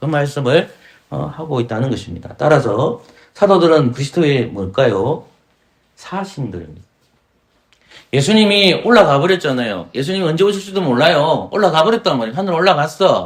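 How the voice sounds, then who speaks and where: This man's fairly high voice carries vocal fry and moves in very wide pitch swings. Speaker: pastor. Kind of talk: sermon. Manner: fast.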